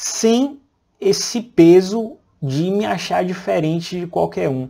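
This man talks at a very slow pace in a high voice with a dark, mellow tone over a quiet background. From interior of Bahia, Brazil. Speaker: radiologist and medical educator; radiologist, medical educator. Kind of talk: personal life story. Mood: calm, reflective. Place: home room. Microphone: lapel.

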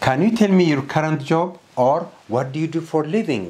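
A man's slightly mellow voice with big pitch swings at a moderate pace, amid audible room echo

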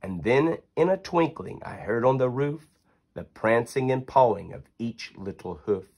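With a medium pitch, a man speaks at a fairly slow pace in a sing-song, animated, cheerful tone with lively intonation. His loudness swings widely, and the background is quiet. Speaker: reader of a children's book. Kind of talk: poem read aloud to children, storybook narration. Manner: sing-song rhythmic, animated and cheerful, bedtime-story cadence. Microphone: phone near.

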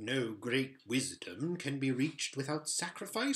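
The voice reads naturally, with its pitch varying in an ordinary way.

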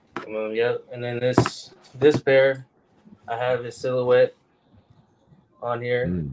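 Very slowly and with long, frequent pauses, a man with an American accent and medium pitch speaks with fairly even intonation and big swings in loudness. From Iowa (Des Moines). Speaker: custom shoe designer. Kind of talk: casual chat.

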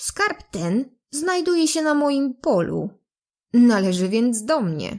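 In a put-on character voice, a woman speaks high and fairly slowly, her pitch swinging very widely. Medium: read story.

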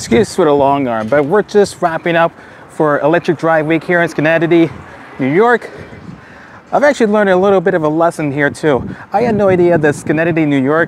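A man talks at a fairly quick pace with ordinary pitch variation. Light background noise sits under a dry sound with no echo. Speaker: EV vlogger. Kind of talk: casual vlog chat. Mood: upbeat, enthusiastic. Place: street. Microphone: lapel.

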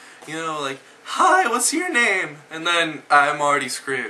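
Noticeable background noise sits behind a man speaking at a moderate pace. His pitch is fairly high, with ordinary variation. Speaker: video blogger. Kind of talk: angry rant. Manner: animated.

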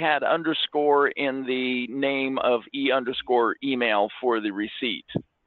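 A man speaks at a fairly slow pace in an ordinary speaking voice with a fairly high pitch. The background is quiet and the sound is dry, with no echo. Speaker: software company staff member. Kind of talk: casual interjections during webinar. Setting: video call. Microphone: video call.

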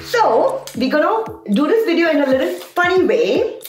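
A woman at a moderate pace, with audible room echo and faint music in the background. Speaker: vlogger reviewing a product. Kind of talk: casual vlog chat. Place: home room. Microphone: camera far.

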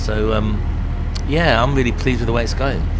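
Noticeable background noise accompanies a man talking at a fairly quick pace. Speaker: rock singer and musician. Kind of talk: casual backstage interview. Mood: relaxed, reflective. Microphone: handheld.

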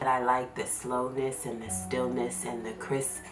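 Music plays in the background. Over it, a woman speaks with ordinary pitch variation. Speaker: homeschooling mom vlogger. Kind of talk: casual vlog chat. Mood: warm, relaxed, laughing. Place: home room.

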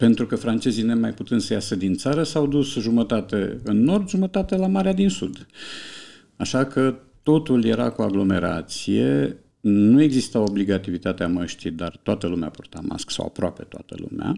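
His tone is dark and mellow. The man's pitch swings very widely against a quiet background. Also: moderate pace. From Romania. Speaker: writer and translator; podcast guest. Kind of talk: casual chat. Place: studio. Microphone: studio mic.

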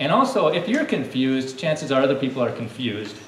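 A man's voice carries audible room echo. Light background noise sits underneath. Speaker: presenter. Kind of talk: lively talk to a child audience. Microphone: podium.

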